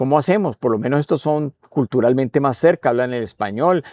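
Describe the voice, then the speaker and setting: A man speaks with a Spanish accent. His pitch is medium, with ordinary variation. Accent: Spanish-speaker accent in English. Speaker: poet and writer. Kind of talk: interview. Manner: halting, many fillers.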